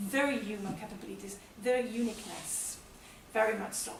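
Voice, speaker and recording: A woman with an Italian accent speaks at a moderate pace with ordinary pitch variation, amid audible room echo and noticeable background noise. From Italy. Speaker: development economist. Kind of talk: conference presentation. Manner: hesitant, many fillers.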